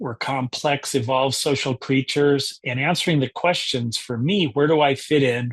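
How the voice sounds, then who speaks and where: In a dry, close sound with no echo and a quiet background, a man with a medium pitch and a somewhat breathy voice talks at a moderate pace with fairly even intonation. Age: 60s. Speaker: book club founder and discussion leader. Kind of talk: book discussion presentation.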